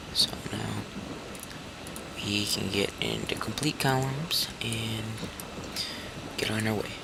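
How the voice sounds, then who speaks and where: Amid noticeable background noise and audible room echo, a man speaks at a very slow pace with fairly even intonation. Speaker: gaming video creator. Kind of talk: gameplay tutorial. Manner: halting, many fillers.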